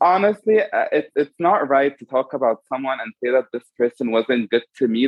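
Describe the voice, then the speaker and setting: A man with an unremarkable speaking voice talks at a medium pitch and a moderate pace with ordinary pitch variation. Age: 20s. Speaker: makeup artist. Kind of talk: casual chat.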